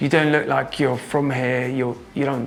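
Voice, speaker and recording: Someone speaks with an English accent over noticeable background noise. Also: man. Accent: acquired English. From Norway. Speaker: drum and bass producer and DJ. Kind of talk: interview. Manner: halting.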